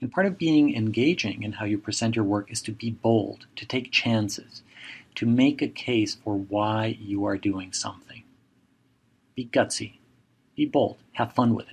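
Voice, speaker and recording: Somewhat breathy and in a Spanish accent, a man talks at a medium pitch with ordinary pitch variation and big swings in loudness. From Mexico. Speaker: professor. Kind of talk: lecture.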